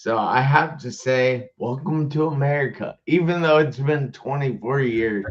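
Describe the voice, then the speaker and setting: Here a man talks at medium pitch with ordinary pitch variation. His pace is fairly slow. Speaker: motivational speaker, live show host. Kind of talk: live video chat show interview. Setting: live video stream. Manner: energetic, enthusiastic.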